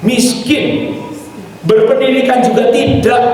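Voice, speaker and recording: Amid noticeable background noise and audible room echo, a man with an animated tone speaks fairly slowly at an extremely high pitch with ordinary pitch variation. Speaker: evangelist / retreat speaker. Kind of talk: sermon.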